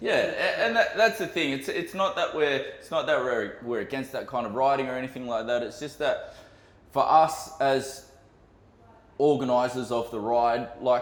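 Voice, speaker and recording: A man's voice in an Australian accent, with big swings in loudness and audible room echo. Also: moderate pace. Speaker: podcast co-host, motorcycle group organiser. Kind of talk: casual chat.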